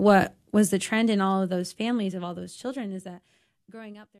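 A woman at medium pitch in a normal speaking voice, against a quiet background. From Granbury, Texas. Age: 20s. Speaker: campus ministry team director. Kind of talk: radio interview.

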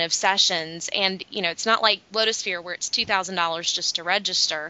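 This woman uses an ordinary speaking voice at a medium pitch. She talks at a moderate pace with fairly even intonation. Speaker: business development manager, guest host. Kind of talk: casual chat.

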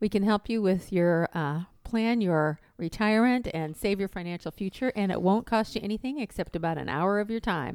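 A plain, everyday voice with an American accent moves at a moderate pace with ordinary pitch variation and hardly any pauses, in a dry, close sound with no echo. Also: woman, medium pitch for a woman. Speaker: financial radio host. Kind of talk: radio ad pitch, upbeat promo read of phone number and free review offer. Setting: radio studio. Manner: bright, clear, repetitive.

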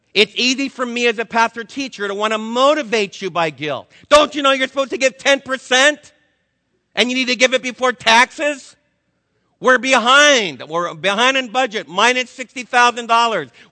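A man speaks loudly with an American accent at an extremely high pitch. His pace is moderate and his pitch variation ordinary. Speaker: Bible teacher. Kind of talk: sermon. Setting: stage with audience.

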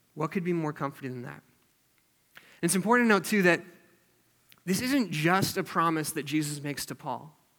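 Recorded very cleanly against a silent background, a man with a high pitch and a bright, sharp tone talks at a fairly quick pace with ordinary pitch variation and long, frequent pauses. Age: 20s. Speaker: youth group leader preaching. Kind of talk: sermon. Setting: church. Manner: casual, filler-heavy.

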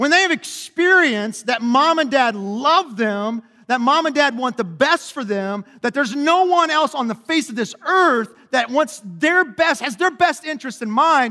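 Raised and projected, a man's extremely high-pitched voice runs at a moderate pace with lively intonation and hardly any pauses. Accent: American. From Kentucky, US South. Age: 40s. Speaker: pastor. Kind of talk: sermon. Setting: church.

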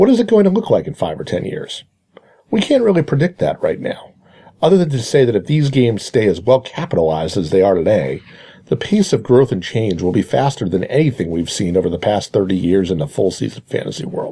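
A man speaks at a medium pitch with a dark, mellow tone, vocal fry, and very wide pitch swings. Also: fairly quick pace. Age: 40s. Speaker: fantasy baseball columnist. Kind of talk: scripted narration.

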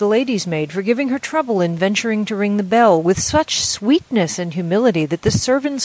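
The intonation is lively as someone reads in a natural reading voice.

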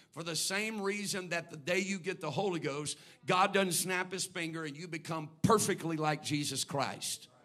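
A man with a high pitch, a bright, sharp tone, fairly even intonation, and hardly any pauses. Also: moderate pace. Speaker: pastor. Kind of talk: sermon. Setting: church. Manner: measured, not hollering.

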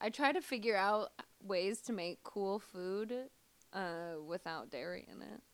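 With a slight Midwestern accent, a woman speaks fairly slowly in a medium pitch with lively intonation. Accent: slight Midwestern American. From US Midwest, Missouri. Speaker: comedian. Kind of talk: casual interview chat.

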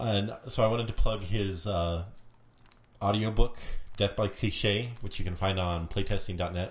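A man with a fairly low, somewhat breathy voice speaks with fairly even intonation. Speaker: intern co-host.

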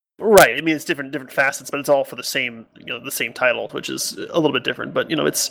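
A man speaks over noticeable background noise. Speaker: podcast host. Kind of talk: casual chat.

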